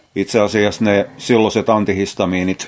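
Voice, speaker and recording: A man talks at a fairly slow pace. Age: 50s. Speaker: podcaster. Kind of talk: casual monologue. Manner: halting.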